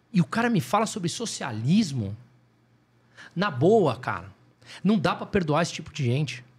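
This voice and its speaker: Using very wide pitch swings and vocal fry, a man with a fairly high pitch speaks at a moderate pace with long, frequent pauses. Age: 40s. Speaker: economist. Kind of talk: casual chat.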